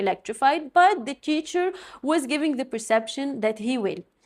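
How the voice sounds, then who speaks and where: In a very clean recording with a silent background, a woman with a non-native accent talks at a moderate pace with lively intonation. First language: not English. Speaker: podcast host. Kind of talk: solo podcast monologue.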